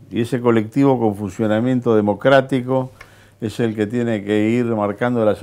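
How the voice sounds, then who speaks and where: A man's fairly low, dark, mellow voice at a moderate pace. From Argentina. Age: 70s. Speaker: politician. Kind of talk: interview. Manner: animated. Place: studio. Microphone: lapel.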